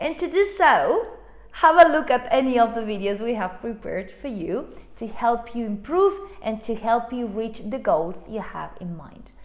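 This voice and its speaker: Over noticeable background noise, a woman with a non-native accent speaks at a moderate pace in a fairly high voice, her pitch swinging very widely and her loudness shifting a lot. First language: not English (English is her third language). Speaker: English teacher. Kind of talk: online lesson.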